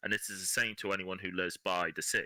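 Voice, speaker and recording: A man speaks at a moderate pace with an English accent. The very clean recording has a silent background and a dry, close sound with no echo. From England. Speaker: podcast guest. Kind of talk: casual chat.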